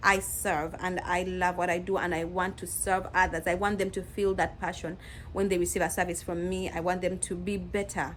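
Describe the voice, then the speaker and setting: Using a medium pitch and vocal fry, a woman speaks in a flat, monotone way at a moderate pace. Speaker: nurse. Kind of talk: advice vlog. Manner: casual, conversational.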